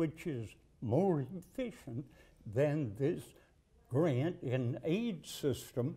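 Speaking at a very slow pace with a Southern US accent, a man has a dark, mellow tone and a somewhat breathy quality. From Alabama. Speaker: political candidate. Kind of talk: interview. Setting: studio couch interview. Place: studio. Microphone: lapel.

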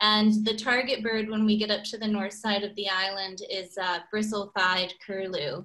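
Against a quiet background, a woman with a medium pitch and a bright, sharp tone speaks in a flat monotone at a moderate pace, with hardly any pauses. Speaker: birding guide; presenter. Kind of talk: slide presentation. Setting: video call. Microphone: video call.

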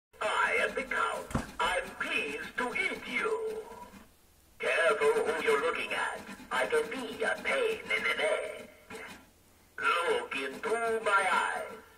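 Over music in the background, a man uses a put-on character voice. He goes at a fairly slow pace with long, frequent pauses. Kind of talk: novelty toy sound clips. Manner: playful, mock-menacing.

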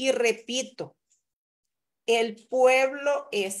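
The speaker is a woman. Her voice sits high in pitch. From El Salvador. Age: 40s. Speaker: physician and mayoral candidate; candidate. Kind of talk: interview. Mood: earnest, critical political talk. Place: home room. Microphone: video call.

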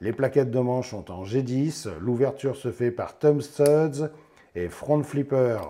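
At a fairly slow pace, a man with a medium-pitched, dark, mellow voice speaks with ordinary pitch variation.

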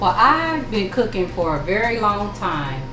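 Clear music plays in the background as a woman speaks. Her pace is fairly slow, with ordinary pitch variation. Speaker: cooking show host. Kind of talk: interview answer. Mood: warm, reflective about family. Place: kitchen.

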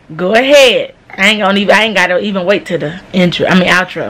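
Light background noise sits behind a woman's voice. She speaks at a fairly quick pace with ordinary pitch variation. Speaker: family prank vlogger. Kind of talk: casual vlog chat. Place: home room. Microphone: phone near.

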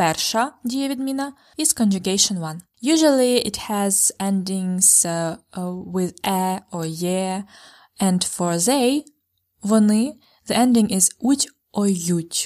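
Her medium-pitched voice moves at a very slow pace with lively intonation. The recording is very clean, with a silent background. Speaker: language teacher. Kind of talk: language lesson.

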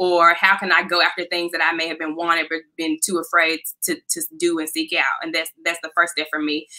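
A woman with an American accent speaks at a fairly quick pace and a fairly low pitch, with hardly any pauses. Her intonation is monotone and flat against a quiet background. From US South, Memphis, Tennessee. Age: 20s. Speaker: employment attorney. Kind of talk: interview. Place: home room.

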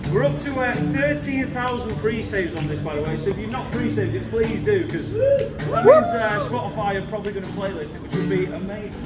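A man talks at a fairly quick clip with hardly any pauses. Clear music plays behind him. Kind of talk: talk to an audience between songs, then singing. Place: tunnel cave. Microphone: camera far.

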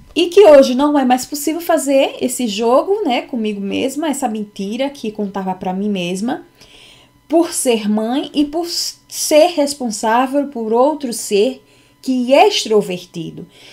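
A woman with a high pitch and a dark, mellow tone, very wide pitch swings, and a fairly slow pace. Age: 40s. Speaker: psychology content creator. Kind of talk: unscripted personal talk to camera; personal lecture-style talk. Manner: halting, many fillers. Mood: reflective, personal. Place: home room. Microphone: webcam.

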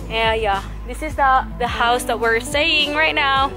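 A woman speaks at a very slow pace over clear background music. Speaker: travel vlogger. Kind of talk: casual vlog chat. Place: garden. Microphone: phone near.

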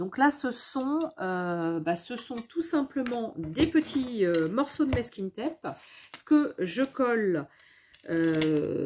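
Speech comes at a slow pace with lively intonation. The tone is slightly mellow, with a slightly husky edge. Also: woman.

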